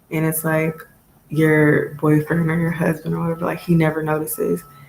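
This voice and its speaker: A woman's very deep, low voice, monotone and flat, at a moderate pace over noticeable background noise. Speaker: tarot reader and motivational vlogger. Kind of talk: casual motivational monologue. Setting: home video recording. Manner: halting, long pauses; casual, filler-heavy.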